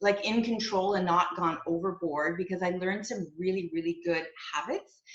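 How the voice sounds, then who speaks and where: In a Canadian accent, a woman talks at a moderate pace and medium pitch in an ordinary speaking voice. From Quebec, Canada (Montreal). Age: 60s. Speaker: network marketing area manager. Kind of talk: testimony. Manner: casual, conversational with fillers.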